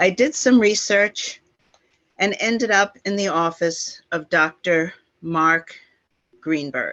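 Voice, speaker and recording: A woman with a bright, sharp tone and medium pitch speaks very slowly, her intonation lively and her pauses long and frequent. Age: 70s. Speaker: plaintiff telling her story. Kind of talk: testimony.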